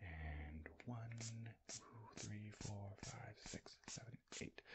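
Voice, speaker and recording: Over loud background noise, a man speaks in a soft-spoken way. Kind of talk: ASMR roleplay narration. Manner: soft-spoken low ASMR counting. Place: home room.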